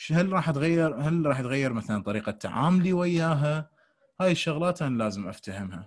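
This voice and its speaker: The background is quiet as a man delivers lively intonation at a moderate pace. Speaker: dental lecturer. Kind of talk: lecture.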